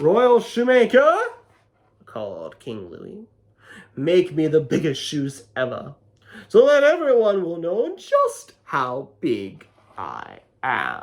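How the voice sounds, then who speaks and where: Using a put-on character voice, a man with a high pitch speaks at a very slow pace, with long, frequent pauses and big swings in loudness. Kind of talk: children's picture book read-aloud. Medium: read story. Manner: playful, animated.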